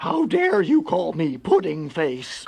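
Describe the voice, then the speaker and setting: A man performs a put-on character voice. He takes a fairly slow pace. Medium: read story.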